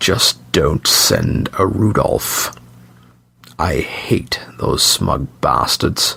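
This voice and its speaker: In a put-on character voice, a man whispers with a hissing sound at a very slow pace. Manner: hissing, spiteful.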